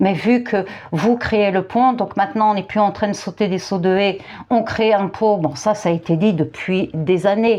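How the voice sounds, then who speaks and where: Fairly slow delivery with ordinary pitch variation. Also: woman, medium pitch for a woman. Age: 50s. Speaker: youtuber and therapist. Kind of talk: commentary monologue. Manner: hesitant, repetitive.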